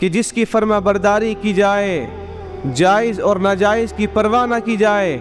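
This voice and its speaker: A high-pitched man with fairly even intonation over background music. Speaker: Islamic scholar (mufti) giving a sermon. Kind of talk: Friday sermon (juma bayan).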